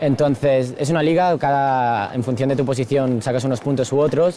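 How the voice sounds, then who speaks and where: A man speaks at a medium pitch with ordinary pitch variation amid noticeable background noise. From Spain (Barcelona area). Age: 20s. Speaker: slam poet and university student. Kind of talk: interview.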